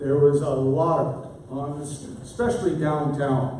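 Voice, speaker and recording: A man with a fairly high voice talks at a fairly slow pace, with audible room echo and noticeable background noise in the recording. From Oshawa, Ontario, Canada. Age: 60s. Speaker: political candidate. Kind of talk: political debate. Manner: halting.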